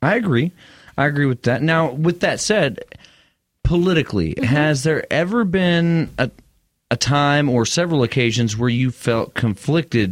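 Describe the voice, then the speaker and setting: A man with a West Texas accent speaks at a moderate pace, his pitch swinging very widely. The recording is very clean, with a silent background. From West Texas (Midland). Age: 30s. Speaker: podcast host. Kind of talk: scripted show intro; casual interview.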